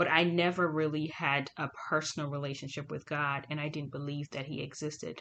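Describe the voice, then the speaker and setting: Against a quiet background, a woman with a very deep, low voice speaks at a moderate pace. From Ghana and Swaziland (Eswatini). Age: 30s. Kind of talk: personal testimony. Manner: casual, hesitant with many fillers.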